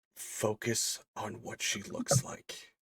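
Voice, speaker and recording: Using a put-on character voice at medium pitch, a man is heard with a dry, close sound with no echo. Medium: actual play. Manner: cryptic, measured.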